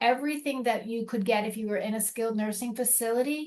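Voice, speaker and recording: A woman's fairly high-pitched voice with a slight Boston accent. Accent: slight Boston accent, rhotic on some words. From US Northeast, Boston. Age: 60s. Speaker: elder care program representative. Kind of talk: informational presentation. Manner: fast.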